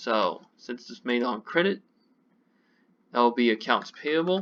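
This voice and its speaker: An ordinary speaking voice from a man, medium in pitch, at a fairly slow pace, with lively intonation and big swings in loudness. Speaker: accounting professor. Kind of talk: tutorial.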